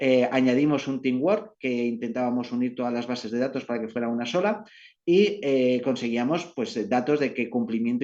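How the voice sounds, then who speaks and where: The voice has a dark, mellow tone and runs on with hardly any pauses. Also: man. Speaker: company representative presenting at business webinar. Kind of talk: presentation. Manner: fast.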